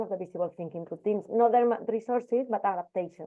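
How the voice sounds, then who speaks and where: A woman with a Spanish accent. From Spain. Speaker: primary school teacher. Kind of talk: casual chat. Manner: loud; animated.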